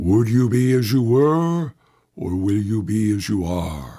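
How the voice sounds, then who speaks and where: A man puts on a character voice with a solemn tone. He speaks fairly low-pitched at a fairly slow pace. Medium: read story. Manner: slow, solemn.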